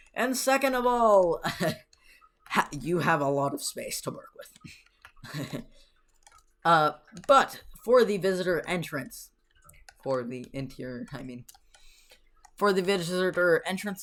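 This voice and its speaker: A raspy, put-on character voice sits at a middle pitch. It moves at a fairly slow pace with long, frequent pauses. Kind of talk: casual, conversational.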